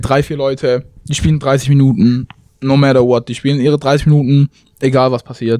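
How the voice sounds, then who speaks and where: Fairly high for a man yet dark and mellow in tone, his voice moves at a fairly quick pace. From southwestern Germany, Tübingen. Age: young. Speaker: college basketball player. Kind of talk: interview. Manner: casual, halting.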